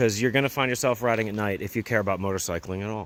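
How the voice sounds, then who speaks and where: A man with a normal speaking voice, an American accent and a fairly low pitch. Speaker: motorcycle vlogger. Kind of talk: vlog monologue. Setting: outdoors at night.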